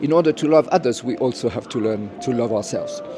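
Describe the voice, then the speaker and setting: Over music in the background, a man talks at a fairly quick pace with a fairly high pitch. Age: 70s. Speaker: educator. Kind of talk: interview. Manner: halting, many fillers.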